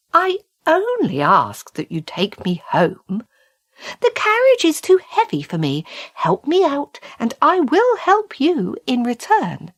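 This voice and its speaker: A put-on character voice, squeaky and high-pitched, moves along at a fairly slow pace. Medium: read story.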